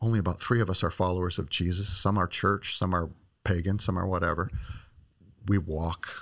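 A man with a very deep, low pitch and a Midwestern American accent speaks at a fairly quick pace with fairly even intonation. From small-town Illinois. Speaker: missionary and ministry director. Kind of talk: interview. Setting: studio.

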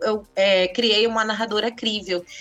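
Music plays in the background as a woman speaks fairly slowly at fairly high pitch. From northern Brazil, Santarém, Pará. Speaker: author. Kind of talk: interview.

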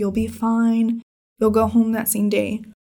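With an American accent, a woman speaks at a moderate pace in a fairly high pitch, her tone dark and mellow and somewhat breathy. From Northern California. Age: 20s. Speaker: patient with a rare bleeding disorder, college student. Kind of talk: interview, personal story. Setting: at her home.

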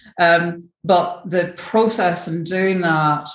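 A woman speaks in a Scottish accent at a very slow pace. Audible room echo surrounds her voice. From northern Scotland. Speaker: brand building consultant. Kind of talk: interview.

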